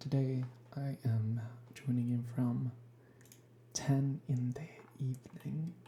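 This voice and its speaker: Very slow and broken by long, frequent pauses, a woman speaks with a very deep, low pitch, a dark, mellow tone, a somewhat breathy quality and fairly even intonation. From Sweden. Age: 20s. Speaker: ASMR youtuber, gamer. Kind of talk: ASMR gaming chat. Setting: sparse, nearly empty room at home. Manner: soft-spoken. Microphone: cheap equipment.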